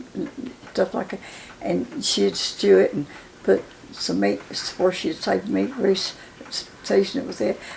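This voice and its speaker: A woman with a southern Appalachian accent at a fairly slow pace, long, frequent pauses, and noticeable background noise. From western North Carolina, Cherokee County. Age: 90s. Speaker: elder interviewee. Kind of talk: oral history interview. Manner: halting.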